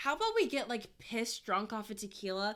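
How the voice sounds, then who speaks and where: A woman talks at a fairly quick pace in an animated tone. Her fairly high voice carries lively intonation. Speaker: podcast co-host. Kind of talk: casual chat. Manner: loud.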